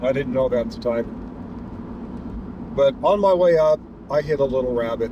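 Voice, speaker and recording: Over noticeable background noise, a man at medium pitch speaks with long, frequent pauses. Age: 60s. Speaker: delivery driver vlogger. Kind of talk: casual driving vlog narration. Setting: in a car. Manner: halting, many repetitions and fillers.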